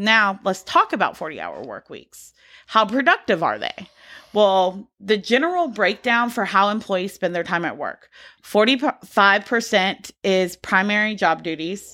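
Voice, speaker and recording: Her loudness swings widely as a woman with a normal speaking voice talks at a medium pitch. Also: ordinary pitch variation, fairly slow pace, very clean recording, silent background. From US South, Georgia. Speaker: podcast co-host. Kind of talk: casual chat with researched topic segments.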